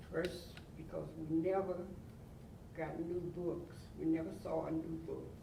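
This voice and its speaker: A man with a North Carolina accent at a fairly slow pace, with long, frequent pauses, noticeable background noise and audible room echo. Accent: Southern US (North Carolina). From US South. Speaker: oral history interviewee. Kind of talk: oral history interview.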